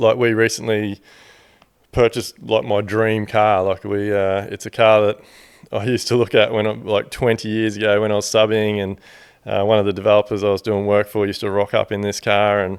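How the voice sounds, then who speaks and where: A man with an Australian accent speaks at a fairly quick pace in a fairly low, monotone, flat voice, on a very clean recording with a silent background. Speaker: builder and podcast host. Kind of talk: solo podcast talk. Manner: casual, candid, profane.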